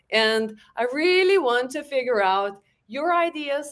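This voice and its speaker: High pitch from a female speaker. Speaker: webinar host. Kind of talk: live webinar interview. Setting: live stream video call. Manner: slow.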